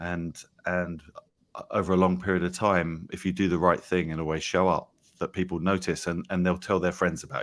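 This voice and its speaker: Very deep, low-pitched speech from a man in an English accent, monotone and flat, at a fairly quick pace. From England. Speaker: company founder. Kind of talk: interview.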